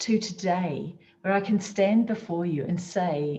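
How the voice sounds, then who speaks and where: A woman speaks with a New Zealand accent. Her pitch sits in the medium range with ordinary variation. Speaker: motivational speaker. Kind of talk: motivational talk.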